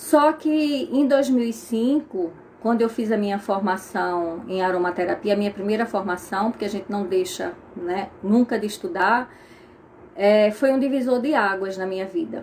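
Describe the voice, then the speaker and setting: Medium-pitched female voice in a Pernambuco accent, lively in intonation at a moderate pace. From Brazil, Pernambuco. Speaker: aromatherapist. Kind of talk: casual talk to viewers, live stream. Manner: conversational, with fillers.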